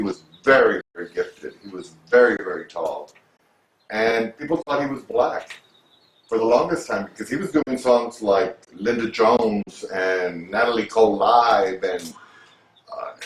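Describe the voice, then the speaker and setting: Speaking fairly slowly at a medium pitch, a man uses lively intonation and big swings in loudness. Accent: American. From Texas, San Antonio. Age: 60s. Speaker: makeup artist. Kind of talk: interview. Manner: animated.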